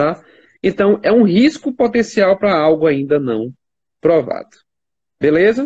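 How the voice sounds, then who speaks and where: A high-pitched man's voice with very wide pitch swings, a fairly slow pace and long, frequent pauses. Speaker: church elder and intensive care doctor. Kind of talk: livestream Q&A explaining medical topics. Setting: online livestream. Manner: few pauses.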